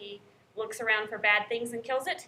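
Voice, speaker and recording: In a slight Southern US accent, a woman speaks at a moderate pace with a bright, sharp tone and fairly high pitch. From North Carolina. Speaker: college professor. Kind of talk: lecture. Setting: classroom. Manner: animated.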